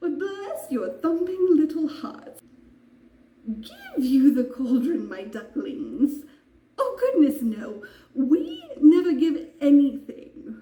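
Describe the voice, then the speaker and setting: Using a put-on character voice, a woman speaks at a very slow pace with a high pitch and a slight echo. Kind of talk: dramatic monologue performance.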